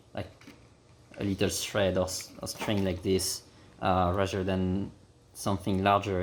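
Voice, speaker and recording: A man with a French accent, a very deep, low pitch and a moderate pace. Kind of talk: DIY repair tutorial. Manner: casual, hesitant with fillers.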